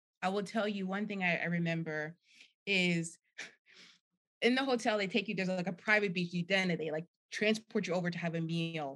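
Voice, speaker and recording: Speaking at a fairly quick pace, a woman with an American accent uses a medium pitch and ordinary pitch variation. Her speech has long, frequent pauses. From New Jersey. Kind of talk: casual chat.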